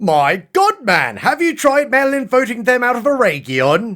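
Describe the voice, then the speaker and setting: A put-on character voice at a moderate pace. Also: man, extremely high pitch for a man. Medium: solo performance. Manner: excitable, gushing.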